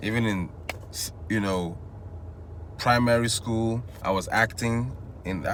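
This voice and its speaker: A man's very slow, fairly low-pitched, fairly even-toned speech amid noticeable background noise and audible room echo. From Nigeria, Igbo, Enugu State. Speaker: vlogger. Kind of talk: casual monologue. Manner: casual, rambling with false starts.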